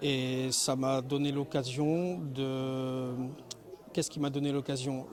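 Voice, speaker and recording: A man speaks very slowly at a fairly high pitch. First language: Spanish (speaking French). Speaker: wood turner, craftsman. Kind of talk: interview.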